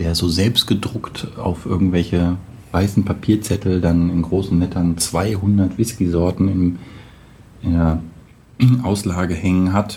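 Against noticeable background noise, a man talks in a very deep, low pitch with fairly even intonation. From Braunschweig, northern Germany. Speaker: web developer, podcast guest. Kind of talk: casual chat.

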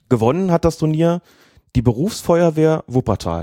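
Fairly high in pitch, a man speaks at a moderate pace with a dark, mellow tone and lively intonation. The recording is very clean and dry, close with no echo and a silent background. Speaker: football referee and podcast co-host. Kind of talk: casual chat.

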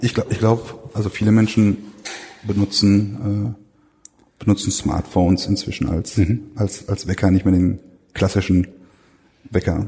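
A man's fairly low voice, monotone and flat, at a fairly slow pace with very even loudness and long, frequent pauses. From Ruhr area, Germany. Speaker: museum researcher. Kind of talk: interview. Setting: workshop lunch at a museum. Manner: halting with many fillers.

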